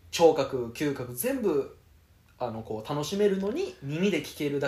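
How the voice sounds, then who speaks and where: Lively intonation marks a somewhat breathy voice. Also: man. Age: 20s. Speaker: podcast co-host. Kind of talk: casual chat.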